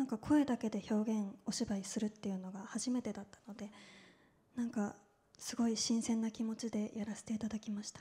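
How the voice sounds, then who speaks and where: Somewhat breathy delivery at a fairly quick pace, with monotone, flat intonation. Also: woman, fairly high pitch for a woman. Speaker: voice cast member. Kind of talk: panel talk at press event. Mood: polite, slightly nervous. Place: hall. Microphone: handheld.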